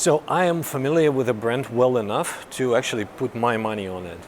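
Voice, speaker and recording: In a Russian accent, a man speaks at a fairly quick pace and medium pitch with lively intonation, over noticeable background noise. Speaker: car journalist. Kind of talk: vlog. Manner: halting.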